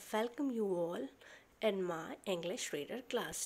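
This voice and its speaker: A woman with an Indian accent, medium in pitch, fairly slow, with lively intonation. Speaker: school teacher. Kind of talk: lesson explaining a story. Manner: halting, many fillers.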